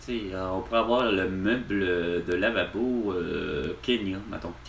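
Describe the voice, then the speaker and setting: Over audible room echo, a man speaks very slowly at a fairly low pitch with lively intonation. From Quebec, Repentigny. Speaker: vlogger, store employee. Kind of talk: casual vlog monologue. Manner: halting, many fillers.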